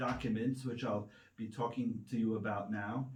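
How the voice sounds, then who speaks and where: With audible room echo, a man with an American accent speaks in fairly even intonation. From United States. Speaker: medical writer. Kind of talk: presentation. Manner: hesitant, many fillers.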